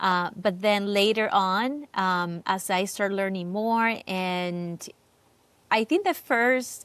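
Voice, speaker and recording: A woman with a Cuban accent speaks very slowly at a medium pitch, with ordinary pitch variation. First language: Spanish. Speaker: real estate agent. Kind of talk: interview. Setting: podcast.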